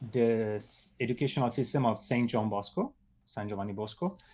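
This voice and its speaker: A man with an Italian accent. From Italy. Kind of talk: interview. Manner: halting, many fillers.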